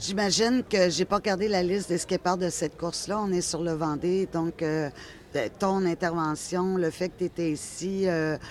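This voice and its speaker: A woman speaks with a Quebec accent at a fairly slow pace. Her fairly low voice keeps a fairly even intonation. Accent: Québécois. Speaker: interviewer. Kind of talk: interview.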